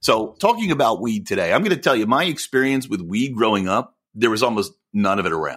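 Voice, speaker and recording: With a normal speaking voice, a man talks at a medium pitch and with lively intonation in a very clean recording with a silent background. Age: 40s. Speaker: podcast co-host. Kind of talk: casual chat.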